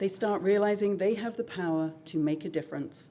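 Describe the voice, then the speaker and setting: A woman speaks with a British accent at a fairly quick pace. Her tone is dark and mellow. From Britain. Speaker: high school English teacher. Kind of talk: presentation to school board. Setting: school board meeting. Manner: formal.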